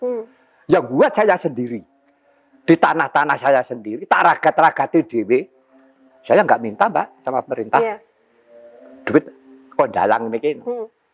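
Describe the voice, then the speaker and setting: A man's fairly high, energetic voice at a moderate pace, with very wide pitch swings, long and frequent pauses, and dry, close sound with no echo. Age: 70s. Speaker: puppet master (dalang). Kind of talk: interview answer. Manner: energetic, spirited.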